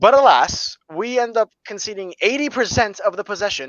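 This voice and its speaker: The man's tone is animated throughout. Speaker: football fan podcast host. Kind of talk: casual chat. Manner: fast.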